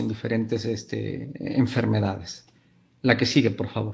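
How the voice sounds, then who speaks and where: Speaking with a Spanish accent, a man keeps a moderate pace and fairly even intonation. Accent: Spanish (Spain), marked lisp-like ceceo. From Spain. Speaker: pediatric neurologist. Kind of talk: lecture. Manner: hesitant, many fillers.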